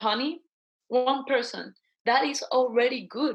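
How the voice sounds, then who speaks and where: The speaker has a Guatemalan accent and a moderate pace. Intonation stays fairly even. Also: woman. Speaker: social entrepreneur. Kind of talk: interview.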